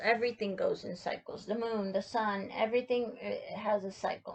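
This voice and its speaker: Her voice sits fairly high. The woman speaks with monotone, flat intonation. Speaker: tarot reader. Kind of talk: tarot reading. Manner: hesitant, many fillers.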